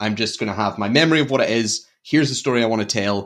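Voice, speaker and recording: A man with a Glaswegian accent, medium pitch and a fairly quick pace, over a quiet background. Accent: Glaswegian Scottish. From Scotland, Glasgow. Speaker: horror podcast host. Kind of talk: casual chat.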